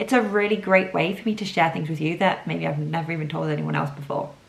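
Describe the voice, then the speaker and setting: Words come from a woman at a very fast pace. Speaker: podcast host. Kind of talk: casual solo podcast chat. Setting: at home. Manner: voice wobbles when nervous.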